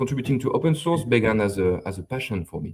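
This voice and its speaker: With a French accent, a man speaks at medium pitch. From France. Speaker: software developer. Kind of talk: live stream interview. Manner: hesitant, many fillers and repetitions.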